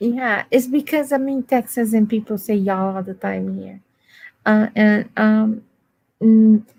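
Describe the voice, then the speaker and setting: In a very clean recording with a silent background, a woman with a fairly high pitch and a dark, mellow tone speaks at a fairly slow pace, somewhat breathy, with fairly even intonation. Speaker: guest. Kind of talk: casual chat. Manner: halting.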